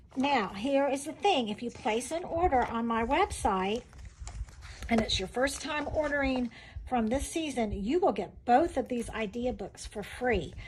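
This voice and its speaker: High-pitched speech from a woman at a fairly slow pace, with lively intonation and noticeable background noise. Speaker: direct sales consultant demonstrating crafts. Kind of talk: sales pitch. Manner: animated.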